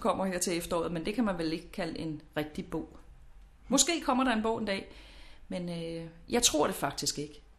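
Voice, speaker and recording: This woman has a normal speaking voice at a medium pitch. She speaks at a moderate pace with lively intonation. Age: 40s. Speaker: lifestyle expert. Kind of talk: interview.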